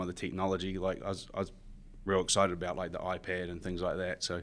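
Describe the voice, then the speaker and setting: Someone with a New Zealand accent talks at a very fast pace in a very clean recording with a silent background. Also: man. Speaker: construction superintendent. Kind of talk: podcast interview. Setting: studio in high-rise office.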